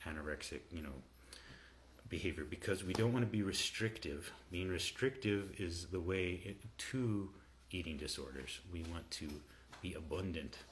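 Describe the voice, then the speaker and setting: A soft-spoken, somewhat breathy man with a very deep, low pitch, at a moderate pace with ordinary pitch variation and long, frequent pauses. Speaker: health coach and herbalist. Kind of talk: livestream talk to viewers. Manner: halting, many fillers.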